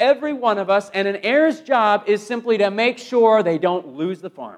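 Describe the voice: A man with a high-pitched voice speaks with lively intonation. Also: moderate pace.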